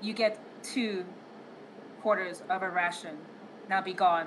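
A female-sounding put-on character voice, booming, at a medium pitch and moderate pace. Clear background noise runs under it. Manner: commanding, dismissive.

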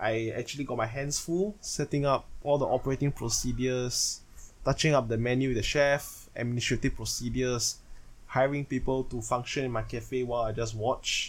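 In an ordinary speaking voice, a man talks at a moderate pace and medium pitch with fairly even intonation, captured in a very clean recording with a silent background. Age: 20s. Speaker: podcaster and card game player. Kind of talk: solo monologue. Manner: casual, self-correcting.

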